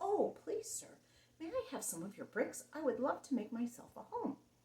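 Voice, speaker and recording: A woman puts on a character voice, high-pitched with very wide pitch swings, delivered at a moderate pace. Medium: read story.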